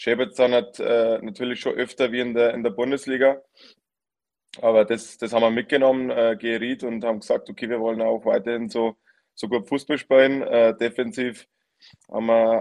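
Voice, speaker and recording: A man with an ordinary speaking voice talks at a fairly quick pace. His medium pitch carries fairly even intonation. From Lower Bavaria, Germany. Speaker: professional footballer. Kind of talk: casual chat.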